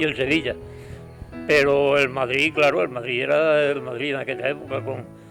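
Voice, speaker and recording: Over music in the background, a man speaks at a moderate pace in a medium pitch with fairly even intonation. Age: 80s+. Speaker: football fan. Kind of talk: interview answer, reminiscing.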